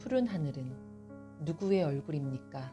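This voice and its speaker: Music plays behind a woman who speaks very slowly in a calm tone. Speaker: poetry reader. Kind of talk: poetry reading. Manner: calm, soft-spoken.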